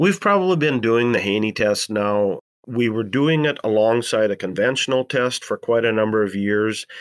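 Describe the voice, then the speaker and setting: A man's medium-pitched voice with ordinary pitch variation and an Upper Midwest accent, at a moderate pace, in a very clean, silent recording with a dry, close sound and no echo. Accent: Upper Midwest American. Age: 60s. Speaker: farmer. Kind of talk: interview.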